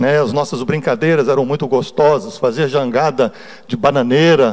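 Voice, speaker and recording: A man in a normal speaking voice with fairly high pitch, ordinary pitch variation and a fairly slow pace. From Brazil, Espírito Santo (Cariacica). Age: 60s. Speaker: church elder / lay preacher. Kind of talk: sermon with personal testimony. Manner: conversational, informal.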